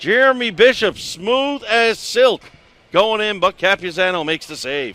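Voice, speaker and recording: A man with a Newfoundland accent speaks high-pitched and projected at a fairly slow pace. His loudness swings widely, and the sound is dry and close with no echo. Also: lively intonation. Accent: Newfoundland Canadian English. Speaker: play-by-play announcer. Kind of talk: live commentary.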